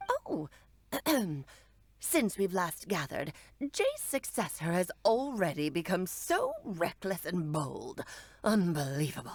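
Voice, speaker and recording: A woman's put-on character voice at a medium pitch, fairly slow, with long, frequent pauses. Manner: imitating an old woman's voice, mocking.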